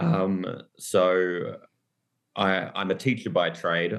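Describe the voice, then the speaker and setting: A man with an Australian accent. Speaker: author and teacher. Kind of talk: interview.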